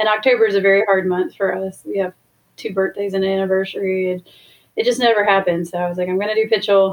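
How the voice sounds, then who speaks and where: Speaking in an American accent at a very fast pace, the voice keeps a flat, monotone intonation. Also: woman. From Washington DC area. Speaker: ultra runner and newspaper editor. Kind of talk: casual interview.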